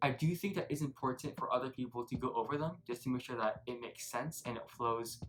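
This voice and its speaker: Music plays behind a man with an American accent who speaks fairly quickly at a medium pitch with ordinary pitch variation. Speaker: student YouTuber. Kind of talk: casual advice talk.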